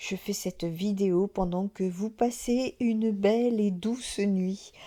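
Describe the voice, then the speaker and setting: A woman's dark, mellow tone at a very slow pace, with ordinary pitch variation. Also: very clean recording, silent background. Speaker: medium and spiritual channel host. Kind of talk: casual vlog talk to viewers. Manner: soft-spoken; hesitant, many filler sounds.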